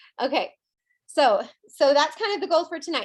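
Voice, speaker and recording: A woman speaks fairly quickly over a quiet background. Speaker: team leader in direct sales. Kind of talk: team training call. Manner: fast; animated.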